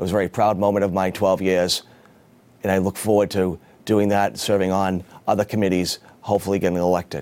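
A man with an American accent speaks at a very fast pace in a very deep, low pitch. His intonation stays monotone and flat. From Massachusetts, Beverly. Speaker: city council candidate. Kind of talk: campaign statement.

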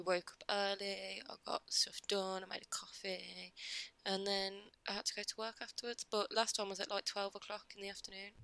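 In an English accent, a woman speaks at a medium pitch and moderate pace with a bright, sharp tone and monotone, flat intonation, the sound dry and close with no echo. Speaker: podcast co-host. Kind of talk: casual chat.

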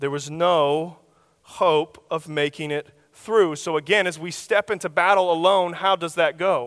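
A man with an American accent and a high pitch talks at a fairly slow pace with fairly even intonation, in a dry, close sound with no echo. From Oklahoma. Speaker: youth minister. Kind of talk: sermon.

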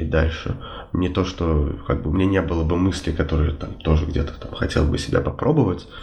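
The speaker goes at a fairly quick pace with fairly even intonation. Audible room echo and noticeable background noise are present. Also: man, very deep, low pitch for a man. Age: 20s. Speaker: civil servant. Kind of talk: interview.

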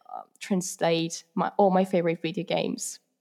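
A woman with an Italian accent at a medium pitch, fairly even intonation and a moderate pace, in a very clean recording with a silent background. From Italy. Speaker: university language student. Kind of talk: podcast interview. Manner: halting, with frequent fillers; giggly.

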